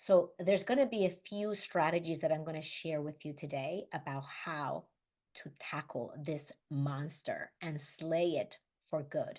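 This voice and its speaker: A woman's fairly low voice in a Spanish accent, fairly slow, with big swings in loudness, over a quiet background. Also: ordinary pitch variation. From Dominican Republic. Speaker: leadership coach. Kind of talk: motivational talk.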